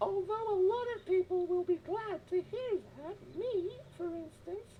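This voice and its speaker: This put-on character voice sits at an extremely high pitch and moves at a moderate pace, with clear background noise behind it. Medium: video game. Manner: snippy, sarcastic.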